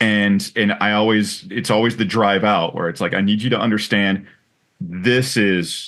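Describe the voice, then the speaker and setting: A man with an ordinary speaking voice talks at a moderate pace in a fairly low pitch. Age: 40s. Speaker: podcast host. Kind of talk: casual interview.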